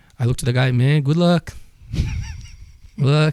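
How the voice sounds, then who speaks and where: The speaker has a Portuguese accent and ordinary pitch variation. The sound is dry and close, with no echo. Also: man. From Brazil. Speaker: martial arts instructor. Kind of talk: casual chat.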